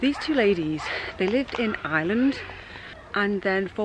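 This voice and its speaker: A woman with an English accent, medium pitch and lively intonation at a moderate pace, over noticeable background noise. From England. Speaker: travel vlogger. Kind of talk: travel vlog narration. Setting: outdoors.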